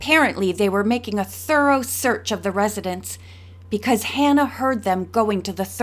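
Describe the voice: Here the text gets plain reading aloud. No more is done than reading it out.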